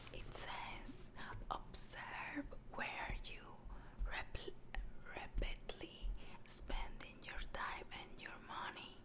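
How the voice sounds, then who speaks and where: The speaker whispers, soft-spoken, at a very slow pace. Long, frequent pauses break up the speech amid noticeable background noise. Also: woman. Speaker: book reviewer. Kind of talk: casual vlog chat. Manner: soft ASMR whisper, reading aloud. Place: home room. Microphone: phone near.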